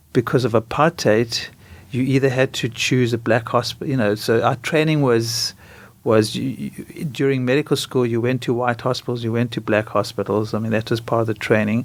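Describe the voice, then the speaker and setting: Someone with a South African accent speaks in a very clean recording with a silent background. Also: man, medium pitch for a man, fairly even intonation, moderate pace. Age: 60s. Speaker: doctor. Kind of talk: interview.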